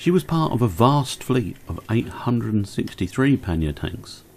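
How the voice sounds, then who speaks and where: A man with a British accent, a dark, mellow tone and lively intonation. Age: 60s. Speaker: model railway YouTuber. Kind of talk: narrated hobby video.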